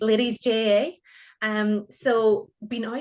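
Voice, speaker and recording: The speaker is a woman with a Donegal accent. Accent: Donegal accent, sometimes taken for Canadian. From Ireland, County Donegal. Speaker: Pilates instructor. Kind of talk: interview chat. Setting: radio studio.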